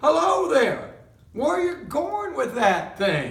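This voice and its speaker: In a put-on character voice, the speaker moves at a fairly slow pace with very wide pitch swings and a slight echo. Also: man. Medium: read story. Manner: gruff, blunt.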